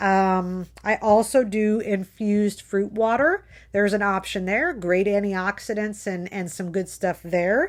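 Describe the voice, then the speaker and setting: A woman with an unremarkable speaking voice at medium pitch, a fairly slow pace and hardly any pauses, on a very clean recording with a silent background. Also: fairly even intonation. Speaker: health coach. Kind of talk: live video motivational talk. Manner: casual, chatty.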